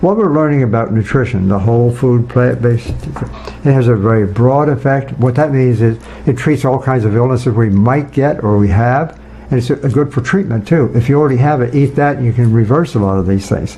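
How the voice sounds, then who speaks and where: Noticeable background noise sits behind a man with a medium-pitched voice. He speaks with hardly any pauses, very even loudness and ordinary pitch variation. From rural farm upbringing. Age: 80s+. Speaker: nutrition scientist. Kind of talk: casual interview.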